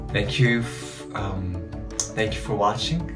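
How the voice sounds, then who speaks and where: This man talks at a fairly slow pace. Music plays clearly in the background. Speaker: runner vlogger. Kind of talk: casual vlog chat. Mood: calm, grateful, reflective. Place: home room. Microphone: phone near.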